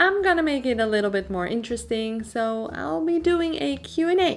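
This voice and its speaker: With a Dutch accent, a woman of fairly high pitch talks at a moderate pace with very wide pitch swings. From Netherlands. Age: 20s. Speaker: artist and YouTuber. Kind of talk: Q&A voiceover over drawing video. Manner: casual, with many fillers.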